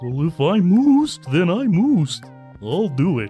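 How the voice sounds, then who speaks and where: Set against clearly audible background music, a put-on character voice at a middle pitch swings very widely up and down while keeping a moderate pace. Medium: audio drama. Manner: earnest, cow puns.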